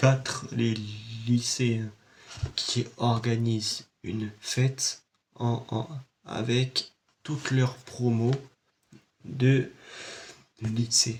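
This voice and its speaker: A man's medium-pitched, somewhat breathy voice, monotone and flat, very slow, with long, frequent pauses. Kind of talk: casual talk to camera, film review.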